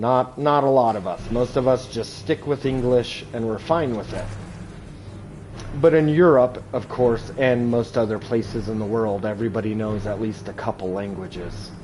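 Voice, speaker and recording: A medium-pitched man with an American accent at a moderate pace, with ordinary pitch variation and noticeable background noise. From Southern California. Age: 30s. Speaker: gaming streamer. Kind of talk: live gameplay stream chat. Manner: animated.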